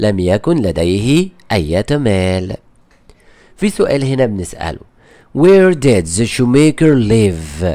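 This voice has a dark, mellow tone, moves at a very slow pace, and swings very widely in pitch. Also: man. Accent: Egyptian. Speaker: English teacher. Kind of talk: tutorial. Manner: repetitive, slow explanatory.

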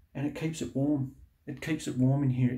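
Against a quiet background, a man talks at a fairly quick pace in a monotone, flat voice with a dark, mellow, somewhat breathy tone. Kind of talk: casual vlog chat. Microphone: phone near.

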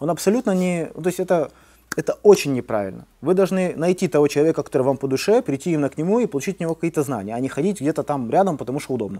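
A man's fairly high, dark and mellow voice at a very fast pace, with lively intonation. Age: 30s. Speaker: martial arts coach. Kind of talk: casual chat. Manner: animated. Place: gym.

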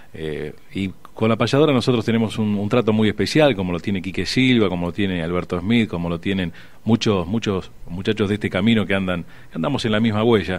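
A man talks fairly quickly in a plain, everyday voice, pitched fairly low. His pitch moves with ordinary variation. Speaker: traditionalist radio host as guest. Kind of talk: radio interview answer. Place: studio.

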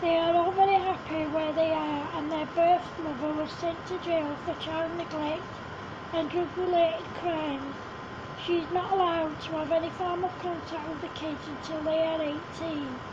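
Over noticeable background noise and audible room echo, a woman talks at a moderate pace in an extremely high pitch with monotone, flat intonation. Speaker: amateur storyteller. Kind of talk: reading aloud.

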